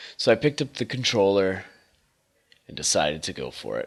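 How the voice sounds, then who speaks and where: This man has a very deep, low pitch, a bright, sharp tone and lively intonation. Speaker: retro video game reviewer. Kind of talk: casual talk to camera.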